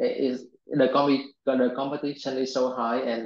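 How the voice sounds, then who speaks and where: In a Vietnamese accent, a man speaks at medium pitch with monotone, flat intonation. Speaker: software engineer. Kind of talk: interview. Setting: video call. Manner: halting.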